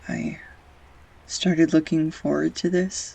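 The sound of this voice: In a put-on character voice, a woman speaks slowly at a low pitch, her tone dark and mellow with a slightly husky edge, vocal fry and fairly even intonation.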